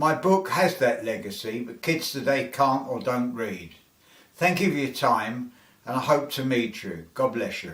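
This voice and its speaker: Audible room echo surrounds a man speaking with a London accent. He is medium-pitched and fairly slow, with lively intonation. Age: 70s. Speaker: author. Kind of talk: autobiographical narration.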